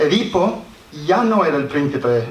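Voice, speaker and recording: Amid noticeable background noise and audible room echo, a man with an English accent speaks at a fairly high pitch. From Scotland. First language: English (speaking Spanish). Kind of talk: conference talk read aloud. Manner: halting, with restarts.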